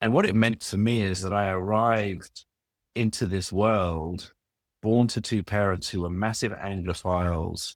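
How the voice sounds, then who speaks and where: In a London accent, the speaker talks at a fairly slow pace with ordinary pitch variation, the sound dry and close with no echo on a very clean recording with a silent background. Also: man. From London, England. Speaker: business executive and author. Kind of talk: interview.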